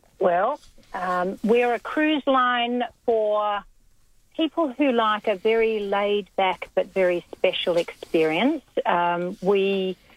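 A woman speaks with an Australian accent at a very slow pace. Her intonation is lively. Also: fairly high pitch for a woman. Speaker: cruise line representative. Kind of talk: radio interview, casual chat. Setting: phone call.

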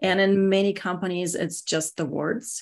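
A woman with a slight Russian accent against a quiet background. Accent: Russian-accented English, slight to moderate. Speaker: security executive (CISO). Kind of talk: casual interview.

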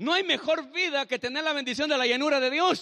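A raised, projected man's voice, extremely high in pitch, bright and sharp in tone, animated, with ordinary pitch variation. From El Salvador. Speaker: pastor. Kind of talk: sermon. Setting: church.

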